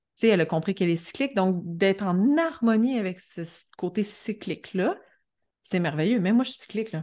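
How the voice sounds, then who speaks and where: Against a quiet background, a woman with a Quebec accent speaks fairly quickly, with medium pitch and a dark, mellow tone. Her intonation is lively, and her loudness swings widely. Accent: Québécois French. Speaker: astrologer and entrepreneur. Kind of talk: casual podcast interview. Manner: animated.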